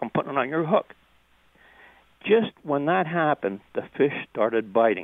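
A man with an American accent, fairly high pitch and very wide pitch swings, at a moderate pace with long, frequent pauses. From US, West Virginia. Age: 70s. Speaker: caller. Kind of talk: radio call-in. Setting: phone call.

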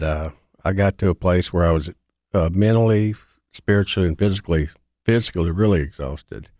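A man with a Mississippi accent and a very deep, low pitch talks fairly quickly with fairly even intonation, in a very clean, dry, close recording with a silent background and no echo. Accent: Southern US (Mississippi). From US South (Mississippi). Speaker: mailroom supervisor and recovering alcoholic. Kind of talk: personal testimony.

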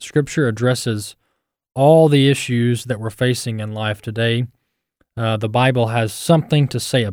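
A man's ordinary speaking voice, medium in pitch, with an American accent, a moderate pace, fairly even intonation and big swings in loudness, on a very clean recording with a silent background. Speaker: radio host. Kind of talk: radio commentary.

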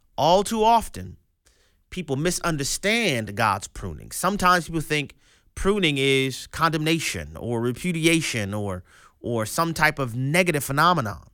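A man's fairly high, bright and sharp voice with very wide pitch swings at a moderate pace, on a very clean recording with a silent background. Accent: American. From US, grew up in an urban neighborhood. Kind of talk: radio commentary with sermon-style teaching. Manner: emphatic, repeats words.

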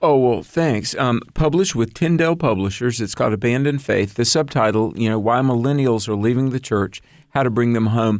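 A man's ordinary speaking voice at medium pitch, fairly quick and with hardly any pauses, ordinary pitch variation and very even loudness, on a very clean recording with a silent background. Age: 50s. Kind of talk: radio interview.

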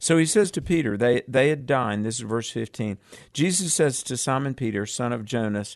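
Someone is reading aloud in a natural voice. The reading carries on throughout.

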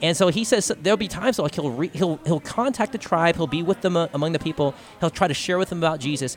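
Over noticeable background noise, a man with an American accent talks at a very fast pace in a fairly high pitch with lively intonation. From Texas, Austin. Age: 30s. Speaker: podcaster and speaker. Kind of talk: live radio interview. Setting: convention floor broadcast.

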